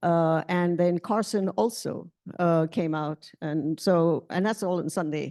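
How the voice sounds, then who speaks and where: Against a quiet background, a woman speaks at a fairly slow pace with a fairly low pitch, ordinary pitch variation and a dark, mellow tone. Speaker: board chair running the meeting. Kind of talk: board meeting report. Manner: halting, many fillers.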